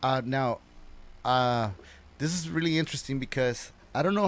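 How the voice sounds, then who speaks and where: This is an ordinary speaking voice with lively intonation. The recording is very clean, with a silent background. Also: man. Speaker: dancer and podcast guest. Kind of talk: casual chat.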